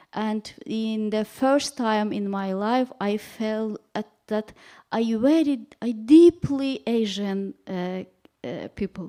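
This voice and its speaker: Very clean and silent behind her, a woman with a non-native accent speaks at a very slow pace with ordinary pitch variation. Her fairly high voice has a dark, mellow tone, heard dry and close with no echo. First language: not English. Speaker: panel speaker. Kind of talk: panel talk. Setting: public event with audience. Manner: halting.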